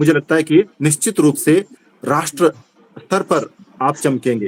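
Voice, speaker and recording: A man with a Kannada accent, fairly high-pitched, ordinary pitch variation, and a dry, close sound with no echo. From Karnataka, India. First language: Kannada (speaking Hindi). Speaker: Hindi teacher / literary club speaker. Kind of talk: speech at literary meeting (video call). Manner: halting, with fillers.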